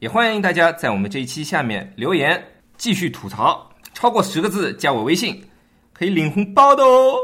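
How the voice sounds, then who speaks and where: Bright and sharp in tone, a man's voice shows vocal fry and very wide pitch swings at a fairly quick pace. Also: very clean recording, silent background. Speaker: podcast host teaching English vocabulary. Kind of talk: casual chat explaining English words; scripted outro. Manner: animated, laughing.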